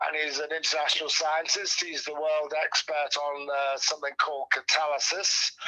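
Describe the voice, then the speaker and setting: A man's fairly high voice, fairly even in intonation, with hardly any pauses and noticeable background noise. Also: moderate pace. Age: 60s. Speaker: poet. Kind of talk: interview. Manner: halting.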